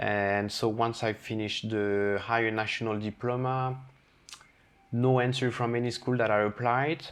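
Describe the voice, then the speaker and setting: Monotone and flat in intonation, a man speaks at a medium pitch and a moderate pace. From France, Brittany. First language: French. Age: 30s. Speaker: chef. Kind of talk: casual chat.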